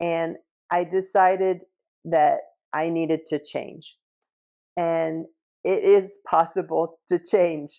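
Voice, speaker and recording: A woman with an American accent, fairly low pitch and a dark, mellow tone, at a very slow pace in a flat monotone with long, frequent pauses over a quiet background. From United States. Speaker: English teacher. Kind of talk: language-learning talk to camera. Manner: slow, clear.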